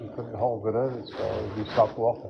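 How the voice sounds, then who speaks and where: A man talks at a fairly quick pace in a flat monotone, with noticeable background noise behind him. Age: 60s. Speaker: vlogger. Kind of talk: casual chat.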